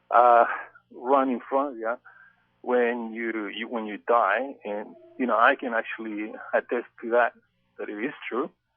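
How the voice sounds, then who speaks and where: Speaking in a Chilean accent, a man keeps a medium pitch. His intonation is monotone and flat, with long, frequent pauses. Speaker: alien contact experiencer, research group director. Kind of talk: interview. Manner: halting, many fillers.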